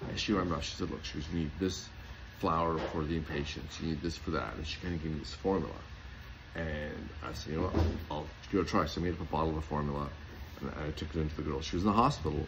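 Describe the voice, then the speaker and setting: A man's very deep, low voice at a very fast pace, with audible room echo. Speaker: homeopath and natural health product maker. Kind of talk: casual talk to camera. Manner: animated.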